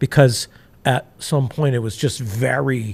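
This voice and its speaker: Somewhat breathy speech with lively intonation at a fairly slow pace, in a dry, close sound with no echo. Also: man. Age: 60s. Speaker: entrepreneur sharing life story. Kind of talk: interview testimony. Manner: halting, many fillers and restarts.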